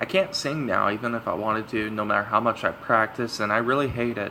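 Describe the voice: A man with a fairly low, raspy voice speaks at a moderate pace. His tone is bright and sharp, with ordinary pitch variation.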